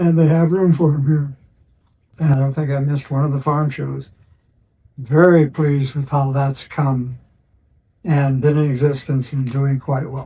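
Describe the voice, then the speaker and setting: A man with a fairly high pitch and a dark, mellow tone sounds somewhat breathy, speaking in a monotone, flat intonation with long, frequent pauses. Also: moderate pace. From Nebraska, Lancaster County. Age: 80s+. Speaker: retired farmer. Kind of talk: interview testimony. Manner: halting.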